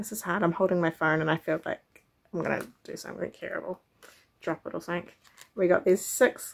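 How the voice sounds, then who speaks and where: A woman speaks with fairly even intonation. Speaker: crochet vlogger. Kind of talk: casual vlog chat. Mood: cheerful, relaxed. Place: home room. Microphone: phone near.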